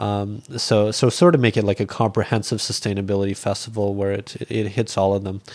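Talking at a fairly quick pace with hardly any pauses, a man with a Canadian accent has an ordinary speaking voice in a fairly low pitch. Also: fairly even intonation. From rural Canada. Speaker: school teacher and animal charity founder. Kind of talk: casual interview. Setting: hotel room.

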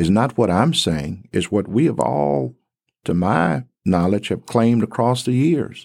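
In a very clean recording with a silent background, a man with a fairly low pitch talks at a fairly slow pace, his pitch swinging very widely while his loudness stays very even. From Tennessee (Covington). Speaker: director of a race studies center. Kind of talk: interview. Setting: studio.

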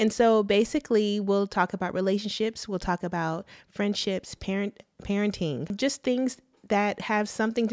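A woman with an American accent speaks at a moderate pace, medium in pitch with ordinary pitch variation. She has an ordinary speaking voice, and the very clean recording has a silent background. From Texas, Arlington. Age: 30s. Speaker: podcast co-host. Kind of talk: casual chat. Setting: studio.

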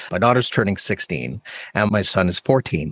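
A man speaks with very wide pitch swings. The recording is very clean with a silent background and a dry, close sound with no echo. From Canada. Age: 40s. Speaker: podcast host. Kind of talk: casual interview chat.

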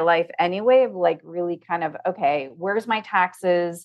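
A woman with an American accent and an unremarkable speaking voice talks at a moderate pace with lively intonation. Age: 50s. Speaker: financial consultant and coach. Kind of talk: casual interview chat.

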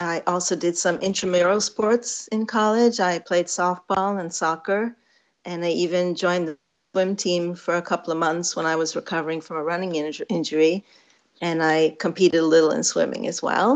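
A woman with an unremarkable speaking voice, fairly low in pitch, at a moderate pace with ordinary pitch variation against a quiet background. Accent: American. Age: 50s. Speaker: physical therapist. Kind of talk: interview.

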